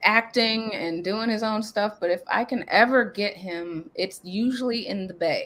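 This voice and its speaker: A woman speaks at a fairly slow pace and a fairly high pitch, with hardly any pauses. She has an unremarkable speaking voice with ordinary pitch variation. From Nebraska. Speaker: hip hop artist. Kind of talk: casual interview.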